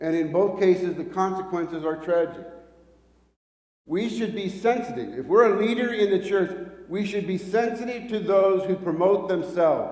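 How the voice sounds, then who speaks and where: A man speaks at a moderate pace with a high pitch, ordinary pitch variation and audible room echo. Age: 60s. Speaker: preacher. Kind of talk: sermon. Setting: church hall, live-streamed with small audience. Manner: halting, repeats words.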